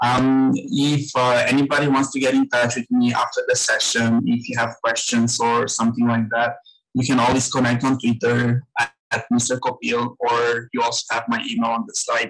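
The background stays quiet as a man speaks at a moderate pace. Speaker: guest. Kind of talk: webinar presentation. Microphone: webcam.

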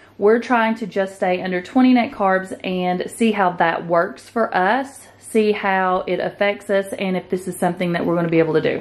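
This woman speaks at a moderate pace, with ordinary pitch variation. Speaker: home vlogger. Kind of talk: casual haul vlog chat. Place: home room. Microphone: phone near.

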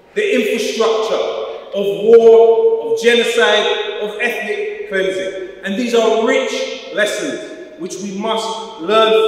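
Strong room echo follows a man who speaks at a very slow pace. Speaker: speaker. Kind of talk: political speech. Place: church.

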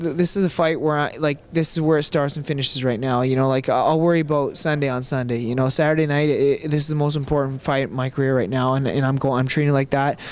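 A man talks at a very fast pace with hardly any pauses. His ordinary pitch variation comes through a dry sound with no echo. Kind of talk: interview answer. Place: hall. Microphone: handheld.

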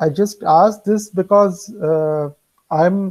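A man speaks with a dark, mellow tone. His pitch varies in an ordinary way against a quiet background. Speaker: music lecturer. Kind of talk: lecture. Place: home room. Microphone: earbuds.

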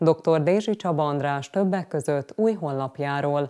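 Against a quiet background, a woman speaks at a fairly slow pace in a very deep, low pitch with ordinary variation. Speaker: news anchor. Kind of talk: news reading. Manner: formal. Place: studio.

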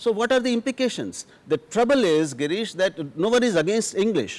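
In an Indian accent, a man talks at a fairly quick pace. His voice is high for a man and has very wide pitch swings. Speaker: journalist. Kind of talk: televised panel debate. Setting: studio. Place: studio. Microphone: lapel.

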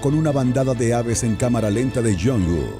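With music in the background, a man talks at a moderate pace in a fairly low pitch with lively intonation. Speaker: voice-over artist. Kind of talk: comedic parody movie trailer narration.

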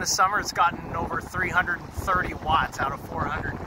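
Loud background noise surrounds a man speaking. His voice sounds dry, with no echo. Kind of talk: casual vlog chat. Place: open country. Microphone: phone near.

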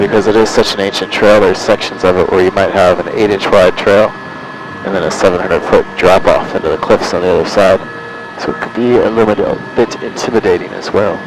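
A man at a very fast pace, in a dry sound with no echo, against noticeable background noise. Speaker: helicopter tour pilot guide. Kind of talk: tour guide commentary.

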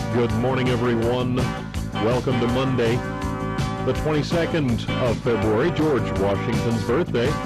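Loud music plays behind a man talking at a moderate pace. He leaves long, frequent pauses. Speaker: radio host; war veteran. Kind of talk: morning radio show host. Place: studio.

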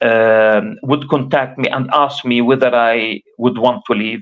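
A man speaks with an Arabic accent. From Gaza, Palestine; Palestine. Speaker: professor and activist; professor. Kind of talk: interview testimony. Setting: remote livestream link. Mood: grave, recounting wartime escape. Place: home room. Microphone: video call.

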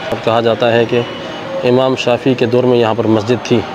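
Noticeable background noise carries on while a man talks. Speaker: travel vlogger guide. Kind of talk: walking tour commentary. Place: church. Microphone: phone near.

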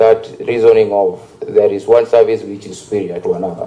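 A man talks with a Kenyan accent. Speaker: member of parliament. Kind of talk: parliamentary questioning. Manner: hesitant, filler-heavy. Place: hall. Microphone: podium.

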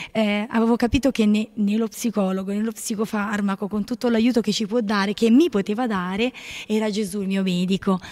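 Over a quiet background, a dark, mellow tone moves at a fairly quick pace with fairly even intonation. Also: woman. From Apulia, southern Italy. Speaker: nun. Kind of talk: testimony. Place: home room. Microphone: handheld.

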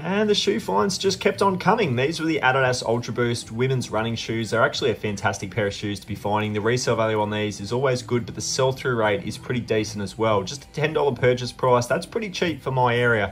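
Against light background noise, a man with an Australian accent speaks at a very fast pace with hardly any pauses, his medium-pitched voice carrying lively intonation. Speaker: thrift reseller YouTuber. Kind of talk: vlog narration. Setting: in thrift stores. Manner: animated. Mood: upbeat, pleased. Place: shop. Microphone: phone near.

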